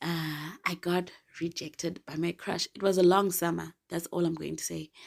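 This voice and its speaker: A woman speaks in a flat monotone with vocal fry. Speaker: podcast host. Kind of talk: casual solo podcast chat.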